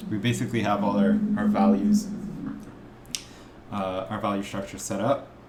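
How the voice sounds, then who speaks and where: Mumbling at a moderate pace, a man leaves long, frequent pauses. Audible room echo and noticeable background noise fill the recording. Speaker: art instructor. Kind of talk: tutorial. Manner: halting.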